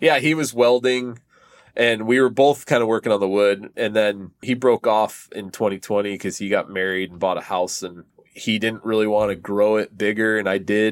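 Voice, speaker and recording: Recorded very cleanly against a silent background, a man with an East Coast US accent speaks at a moderate pace in a fairly low voice with fairly even intonation. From Connecticut, US East Coast. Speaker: drummer. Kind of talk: casual chat.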